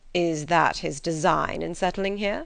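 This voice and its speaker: Putting on a character voice, a woman speaks raspily at a fairly low pitch, with fairly even intonation and a moderate pace. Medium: read story. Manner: dry, ironic.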